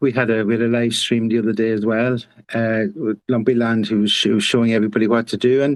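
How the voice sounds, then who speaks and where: The speaker is a man with an Irish accent. He talks at a very fast pace. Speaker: community manager. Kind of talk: casual chat. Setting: online audio space.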